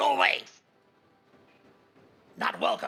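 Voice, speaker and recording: This is a put-on character voice. It sounds raspy. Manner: gruff, hostile, curt.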